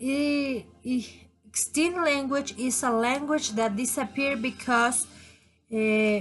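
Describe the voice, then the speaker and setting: In a Spanish accent, a woman with a high-pitched voice speaks very slowly, with ordinary pitch variation and very even loudness, against a quiet background. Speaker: language student. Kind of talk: class presentation. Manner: halting.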